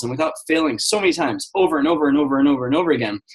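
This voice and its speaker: A man speaks in an intense tone. His pitch is fairly high, with ordinary pitch variation. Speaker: business coach. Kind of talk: guest talk on a conference call. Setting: conference call. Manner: fast; high energy, intense.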